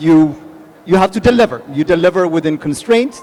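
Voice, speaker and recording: A man's high voice in an Ethiopian accent, lively in intonation, at a moderate pace over noticeable background noise. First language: Amharic. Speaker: tech executive, panelist. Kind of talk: panel discussion.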